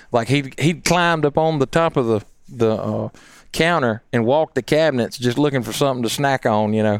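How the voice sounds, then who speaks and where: In a Southern US accent, a man talks at a fairly quick pace and medium pitch with ordinary pitch variation, in a dry, close sound with no echo and a very clean, silent background. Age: 40s. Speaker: game call maker and turkey hunter. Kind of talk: casual chat. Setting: studio.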